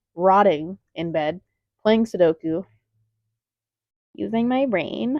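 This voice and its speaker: A woman speaks with lively intonation at a medium pitch. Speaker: crochet artist vlogger. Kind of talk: casual vlog. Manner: loud; animated. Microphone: mic sounds kind of bad.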